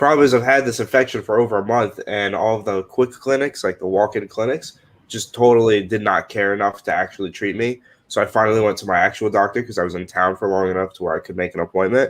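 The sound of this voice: A man talks fast at a fairly low pitch with fairly even intonation.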